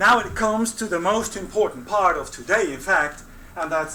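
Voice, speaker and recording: A man speaks at a moderate pace with a non-native accent. Noticeable background noise and audible room echo are present. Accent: foreign. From non-English-speaking country. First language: not English. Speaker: veterinary school faculty, ceremony emcee. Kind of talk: ceremony emcee speech. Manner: hesitant, many fillers.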